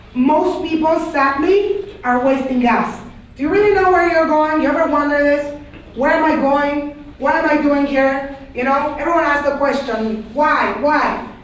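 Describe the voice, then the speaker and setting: A woman with a Panamanian accent speaks at a high pitch and a moderate pace in an animated tone, with ordinary pitch variation and very even loudness, amid audible room echo and noticeable background noise. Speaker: teacher. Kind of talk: classroom lecture.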